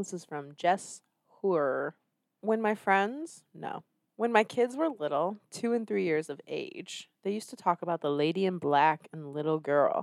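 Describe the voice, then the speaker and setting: This woman has an unremarkable speaking voice at medium pitch, with lively intonation and a fairly slow pace. The recording is very clean, with a silent background. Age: 30s. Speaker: podcast host. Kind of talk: casual banter comedy chat.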